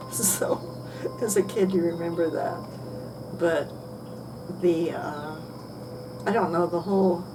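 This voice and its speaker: Through audible room echo and noticeable background noise, a woman with an American accent talks at a fairly slow pace and fairly low pitch, with fairly even intonation and long, frequent pauses. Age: 80s+. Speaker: oral history interviewee. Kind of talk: oral history interview. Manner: rambling, halting.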